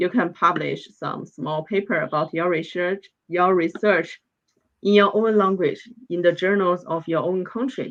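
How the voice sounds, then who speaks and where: A woman speaks with a Chinese accent at a fairly slow pace. Her pitch is fairly low, with ordinary variation. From northeast China. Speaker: PhD student in veterinary science. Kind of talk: interview. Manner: hesitant, repeating words.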